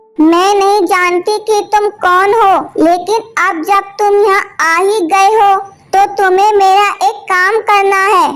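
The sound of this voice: A cartoonish character voice, female-sounding and extremely high in pitch, moves at a fairly slow pace.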